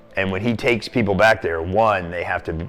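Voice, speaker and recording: A man with a very deep, low pitch and an American accent, at a moderate pace, music in the background. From US Pacific Northwest (Portland, Oregon). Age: 60s. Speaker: cave diver and dive shop owner. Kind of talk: interview storytelling. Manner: frequent hesitations (um).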